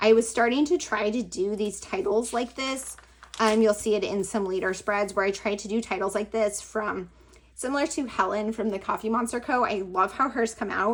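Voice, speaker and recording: Speaking at a moderate pace, a woman has a fairly high, unremarkable speaking voice. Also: ordinary pitch variation. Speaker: planner and crafting YouTuber. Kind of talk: casual flip-through vlog. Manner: casual, lots of fillers like 'like' and 'um'.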